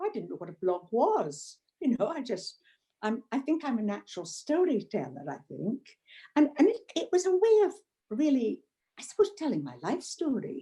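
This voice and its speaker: Speaking at a moderate pace, a woman with a high pitch and a dark, mellow tone makes very wide pitch swings and big swings in loudness. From Scotland. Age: 80s+. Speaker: retired blogger. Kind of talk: interview. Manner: halting.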